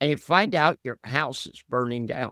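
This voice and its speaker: A man speaks in a bright, sharp tone. The sound is dry and close with no echo, on a very clean recording with a silent background. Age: 70s. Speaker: investment commentator, former fighter pilot. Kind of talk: interview.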